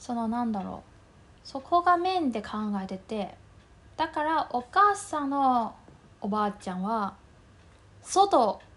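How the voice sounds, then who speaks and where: Very slowly and with long, frequent pauses, a woman with a Mandarin Chinese accent speaks in a high voice that takes very wide pitch swings and big swings in loudness. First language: Mandarin Chinese (speaking Japanese). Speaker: podcast co-host. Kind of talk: casual chat.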